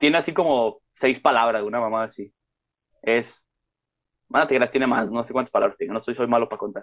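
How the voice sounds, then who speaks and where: At a fairly quick pace but with long, frequent pauses, a man talks at medium pitch with ordinary pitch variation. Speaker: podcast host. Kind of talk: casual chat.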